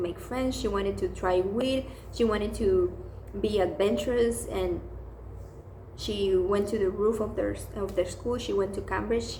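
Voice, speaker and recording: In a non-native accent, the speaker talks at a moderate pace amid audible room echo and noticeable background noise. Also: woman. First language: not English. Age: 20s. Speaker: book vlogger. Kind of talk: casual book review monologue. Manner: hesitant, many fillers.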